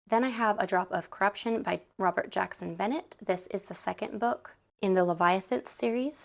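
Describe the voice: A woman's raspy, put-on character voice at medium pitch, moderate pace and ordinary pitch variation, with hardly any pauses.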